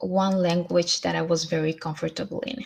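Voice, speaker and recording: This woman has a Spanish accent. Her pitch sits fairly low. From Colombia, then US, Sweden and South America. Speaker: motivational vlogger. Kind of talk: motivational talk to camera, livestream. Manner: hesitant, many fillers.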